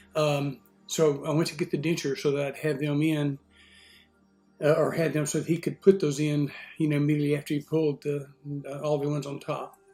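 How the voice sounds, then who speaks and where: Music plays behind a man with an American accent and a fairly high pitch. He moves at a fairly quick pace in a flat monotone, yet leaves long, frequent pauses. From Texas, USA. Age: 60s. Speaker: retiree. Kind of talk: casual talk to camera. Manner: hesitant, many fillers.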